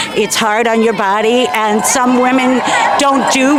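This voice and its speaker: Against crowd noise and audible room echo, a woman speaks very slowly in a high voice. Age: 60s. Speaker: marcher interviewed at a protest. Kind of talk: street interview. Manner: measured, with many fillers.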